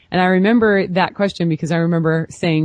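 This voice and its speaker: In an American accent, a woman speaks in a plain, everyday voice with fairly low pitch and ordinary pitch variation. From US Pacific Northwest, Portland, Oregon. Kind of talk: interview.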